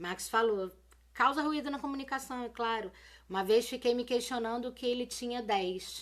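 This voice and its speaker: Here a woman talks at a moderate pace. Her high pitch shows ordinary variation. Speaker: teacher. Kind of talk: live-stream lesson. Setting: live video stream. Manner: casual, colloquial.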